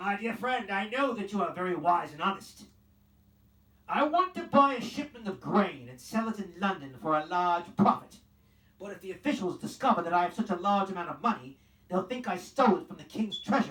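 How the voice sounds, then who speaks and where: Putting on a character voice, a man growls in a gruff, high-pitched tone at a fairly quick pace. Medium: read story. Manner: growling, gruff.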